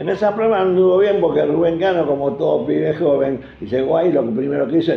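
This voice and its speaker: A man talking at a fairly quick pace with very wide pitch swings. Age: 80s+. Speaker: football club veteran supporter. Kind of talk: interview storytelling.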